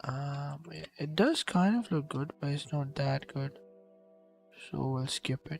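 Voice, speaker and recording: A man in a strong Pakistani accent at a very slow pace, fairly high in pitch with ordinary pitch variation, dry and close with no echo, music in the background. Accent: thick Pakistani. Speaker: digital artist streamer. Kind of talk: casual chat while drawing on livestream. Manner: hesitant, many fillers.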